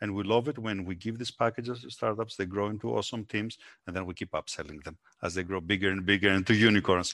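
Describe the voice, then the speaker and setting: A man speaks at a very fast pace in a Greek accent, his fairly low voice showing ordinary pitch variation. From Greece. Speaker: entrepreneur. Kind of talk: interview.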